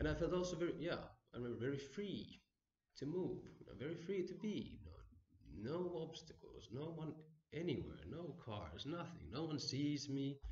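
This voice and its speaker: With audible room echo, a man speaks at a moderate pace and a fairly high pitch. His pitch varies normally, and there is vocal fry. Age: 30s. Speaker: meditation teacher. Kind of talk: lecture. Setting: stage with audience. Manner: halting. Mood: relaxed, reflective. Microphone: camera far.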